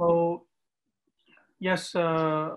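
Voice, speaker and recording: A man with a high-pitched voice talks over noticeable background noise. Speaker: imam. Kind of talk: religious class teaching. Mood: calm, devout. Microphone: video call.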